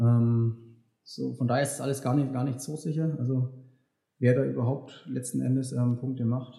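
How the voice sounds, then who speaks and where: A man's dark, mellow, somewhat breathy voice at a medium pitch and moderate pace, with monotone, flat intonation. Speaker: elite marathon runner. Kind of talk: casual chat. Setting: recorded after a run. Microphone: poor sound quality.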